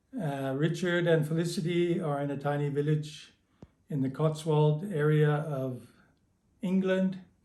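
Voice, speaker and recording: In a Canadian accent, a man talks with fairly even intonation and a dark, mellow tone, with audible room echo. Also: fairly high pitch for a man, fairly slow pace. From Canada. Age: 60s. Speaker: early member of a meditation community. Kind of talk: recorded greeting.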